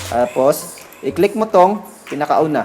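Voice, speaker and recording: Music plays in the background as a man with a Visayan accent swings his pitch very widely. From Visayas, Philippines. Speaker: tech tutorial YouTuber. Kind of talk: screen-recorded tech tutorial. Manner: casual.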